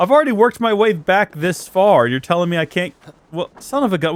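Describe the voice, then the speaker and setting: A whiny voice races along at a very fast pace. The intonation is lively. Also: man. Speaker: gaming streamer. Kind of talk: let's play commentary.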